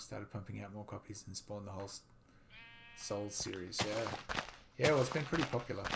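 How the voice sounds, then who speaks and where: A man with a fairly low voice talks very fast, his pitch moving in an ordinary way and his loudness swinging widely. Long pauses come often, and noticeable noise sits in the background. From Australia. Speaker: gaming streamer. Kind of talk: casual chat.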